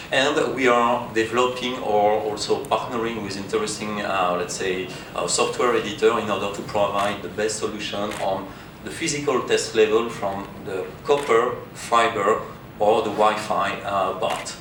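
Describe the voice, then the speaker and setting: Speaking with a French accent, a man keeps a fairly low pitch and fairly even intonation at a moderate pace, with audible room echo and noticeable background noise. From France. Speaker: conference speaker, test equipment company representative. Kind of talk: conference presentation. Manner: halting, many fillers.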